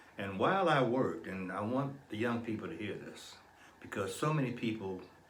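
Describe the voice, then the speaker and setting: There is audible room echo around a man speaking at a moderate pace. His pitch is fairly low, with ordinary variation. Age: 70s. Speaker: psychologist and Vietnam war veteran. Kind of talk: interview.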